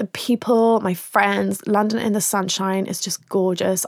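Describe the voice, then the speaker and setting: A woman's medium-pitched voice with an English accent, fairly slow and monotone with flat intonation, in a dry, close sound with no echo. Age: 20s. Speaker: podcast host and author. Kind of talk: advice podcast, reading listener questions. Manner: casual, hesitant with many ums.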